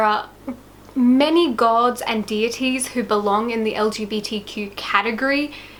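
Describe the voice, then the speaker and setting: Noticeable background noise sits behind a woman's voice. She has a fairly high pitch and a slight Australian accent. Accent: slight Australian twang. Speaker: YouTuber. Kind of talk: casual video talk. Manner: casual, chatty.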